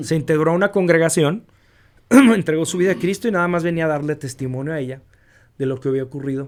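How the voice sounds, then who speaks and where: A man speaks very fast with lively intonation and a fairly high pitch. The recording is very clean, with a silent background. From US-Mexico border region. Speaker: radio announcer. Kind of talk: interview answer. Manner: dynamic.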